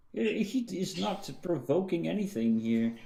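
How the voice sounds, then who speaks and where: A somewhat breathy, dark, mellow voice at a very slow pace, with very wide pitch swings. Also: man. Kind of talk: casual podcast discussion.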